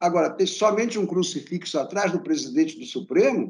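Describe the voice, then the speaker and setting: This man's pitch is high and swings very widely. He talks at a fairly quick pace. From Brazil, raised in Rio de Janeiro. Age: 70s. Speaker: art critic and professor. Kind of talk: interview conversation.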